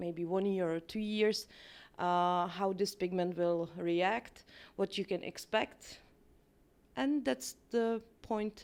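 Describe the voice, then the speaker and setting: In a very clean recording with a silent background, a woman with a Czech accent speaks at a very slow pace in a medium pitch. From Czech Republic. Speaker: permanent makeup artist and trainer. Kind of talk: interview. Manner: hesitant, many fillers.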